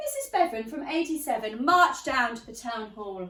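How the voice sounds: A woman speaks at a moderate pace in a bright, sharp, fairly high voice with lively intonation. Room echo is audible.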